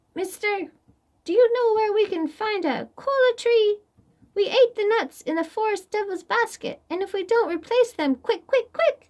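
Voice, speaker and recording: Extremely high put-on character voice from a woman. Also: moderate pace. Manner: urgent, hurried.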